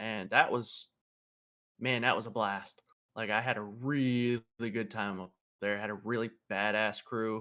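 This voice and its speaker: With an American accent, a man speaks in a bright, sharp tone at a medium pitch and a fairly slow pace, his intonation monotone and flat, with long, frequent pauses. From Pennsylvania, US. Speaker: race car driver and Air Force veteran. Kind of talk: casual interview chat.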